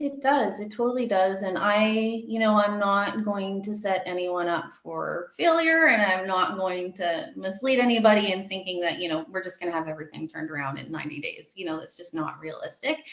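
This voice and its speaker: A woman with a Canadian accent at a fairly quick pace, with hardly any pauses, lively intonation, big swings in loudness and noticeable background noise. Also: medium pitch for a woman. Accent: Canadian, long O's. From Canada, Calgary, Alberta. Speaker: nutrition practitioner. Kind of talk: casual interview.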